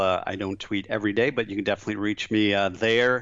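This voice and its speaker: The man has a plain, everyday voice at medium pitch. He talks at a fairly quick pace with fairly even intonation. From Michigan, near Flint. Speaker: franchise business developer. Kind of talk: interview.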